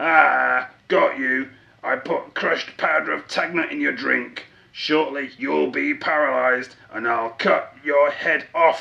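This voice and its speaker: At a fairly slow pace, a man speaks in a put-on character voice. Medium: read story. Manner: grumpy.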